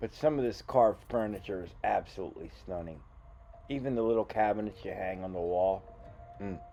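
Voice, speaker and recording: With music in the background, a man speaks fairly quickly at a fairly low pitch with ordinary pitch variation. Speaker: magician vlogger. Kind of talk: casual vlog narration. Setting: indoors in an antique shop.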